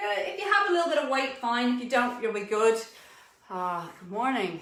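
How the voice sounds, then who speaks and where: Audible room echo surrounds a woman with an Irish accent whose pitch swings very widely. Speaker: fitness instructor. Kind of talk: live online fitness class instruction.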